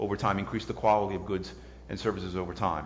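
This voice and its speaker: A man with an American accent speaks with vocal fry, and the room echo is audible. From US South, New Orleans. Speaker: economics professor. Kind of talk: lecture Q&A. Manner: halting.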